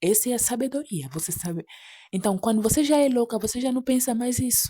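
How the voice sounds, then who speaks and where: A soft-spoken woman with a high pitch, a dark, mellow tone and lively intonation. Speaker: preacher. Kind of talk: sermon.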